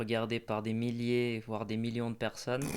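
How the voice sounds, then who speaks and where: This is a man speaking at a medium pitch. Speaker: podcast host. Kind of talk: casual interview questions.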